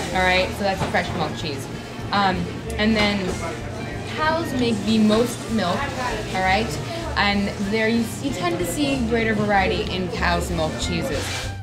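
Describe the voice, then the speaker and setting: A woman talks at a fairly slow pace with long, frequent pauses. Loud music plays in the background. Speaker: food tour guide. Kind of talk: guided tour talk. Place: street. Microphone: camera far.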